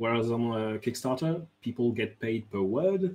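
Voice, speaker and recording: With a French accent, a man speaks at a fairly slow pace with lively intonation. His voice is somewhat breathy. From France. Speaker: game designer. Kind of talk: interview.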